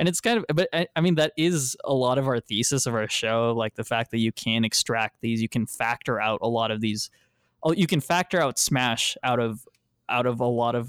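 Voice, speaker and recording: A man with an American accent uses a plain, everyday voice at a medium pitch, speaking at a fairly quick pace with ordinary pitch variation. The recording is very clean with a silent background, and the sound is dry and close with no echo. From Texas. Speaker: podcast co-host, competitive gamer. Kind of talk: casual chat.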